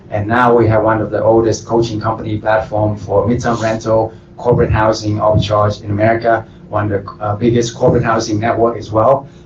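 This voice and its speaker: Music plays in the background as a man speaks at a fairly quick pace and a medium pitch. His intonation is monotone and flat. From Vietnam. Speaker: real estate entrepreneur. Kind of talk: panel self-introduction.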